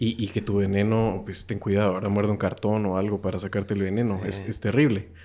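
A man talks very fast in a fairly low, dark, mellow voice with hardly any pauses. His intonation is flat and monotone, and the recording is very clean with a silent background. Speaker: radio host and podcaster. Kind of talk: casual chat.

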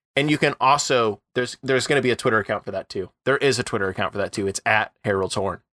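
At a very fast pace and with hardly any pauses, a bright, sharp voice with an American accent comes through a dry, close sound with no echo on a very clean recording with a silent background. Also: man, medium pitch for a man, ordinary pitch variation. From US Midwest. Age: 20s. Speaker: podcaster and writer. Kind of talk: casual chat. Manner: animated.

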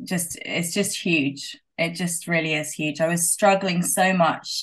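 A woman with a British accent and a fairly low pitch talks at a fairly slow pace over a quiet background. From UK. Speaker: guest sharing sobriety story. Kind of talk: casual interview chat.

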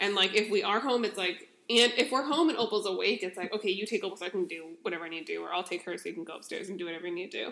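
A woman talks at a very fast pace with hardly any pauses. Her loudness swings widely. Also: medium pitch for a woman, ordinary pitch variation. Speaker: podcast host. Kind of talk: casual chat.

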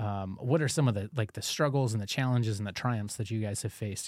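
A man with an American accent speaks at a very fast pace in a fairly low pitch, on a very clean recording with a silent background. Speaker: parish podcast host. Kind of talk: casual chat. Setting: studio.

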